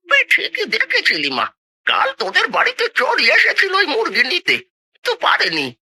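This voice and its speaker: In a cartoonish character voice, the pitch runs extremely high at a moderate pace. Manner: blunt, folksy.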